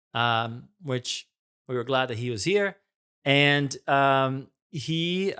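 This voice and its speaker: A man with a Portuguese accent, medium in pitch and very slow in pace, on a very clean recording over a silent background. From Brazil. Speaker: video marketing host. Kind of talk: narration to camera.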